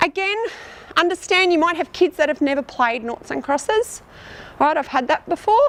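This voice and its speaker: At a fairly quick pace, a woman with an Australian accent speaks with lively intonation over noticeable background noise. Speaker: teacher. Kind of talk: outdoor teaching demonstration. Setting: outdoors. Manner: fast.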